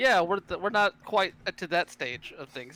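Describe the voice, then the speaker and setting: A man speaks at a moderate pace with a high pitch, his dry, close sound carrying no echo over noticeable background noise. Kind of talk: casual chat. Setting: live stream.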